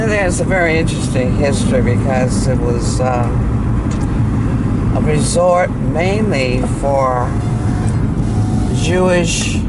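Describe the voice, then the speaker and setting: A woman talks at a very slow pace. Loud background noise is heard throughout. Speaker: local guide driving. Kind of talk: interview answer. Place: car. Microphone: camera far.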